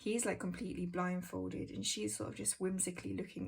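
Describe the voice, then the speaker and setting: This woman speaks with a British accent. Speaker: tarot content creator. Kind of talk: casual walkthrough. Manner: halting, many ums.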